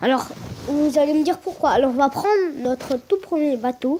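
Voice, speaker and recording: This woman speaks loudly at a moderate pace, her high-pitched voice showing ordinary pitch variation. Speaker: gaming youtuber. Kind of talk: let's play commentary. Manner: hesitant, many fillers; trying to speak loudly.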